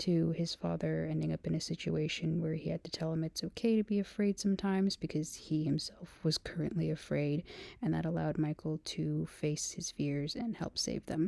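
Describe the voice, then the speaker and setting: Soft-spoken, a woman talks in a very clean recording with a silent background. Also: moderate pace. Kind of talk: ASMR rambling talk.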